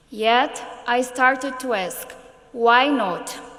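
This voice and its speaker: In a room with audible echo and noticeable background noise, a woman talks in a high voice with fairly even intonation. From Brazil, São Paulo. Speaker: politician and education activist. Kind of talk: prepared speech.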